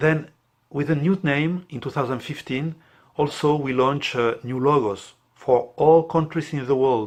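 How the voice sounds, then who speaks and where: With a non-native accent and a fairly high pitch, a man speaks fairly slowly with ordinary pitch variation over a quiet background. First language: not English. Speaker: priest, international director of a prayer network. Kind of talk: explanatory talk to camera. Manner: halting, with many fillers.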